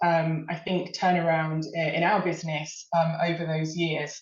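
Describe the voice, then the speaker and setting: A woman speaks with a fairly low pitch. Room echo is audible. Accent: British. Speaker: marketing executive. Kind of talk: webinar presentation. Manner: hesitant, many fillers.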